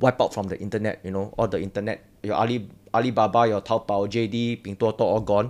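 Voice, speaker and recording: A man speaks in an ordinary speaking voice at medium pitch. His pace is fairly quick. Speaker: roundtable panelist, investor. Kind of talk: casual roundtable discussion.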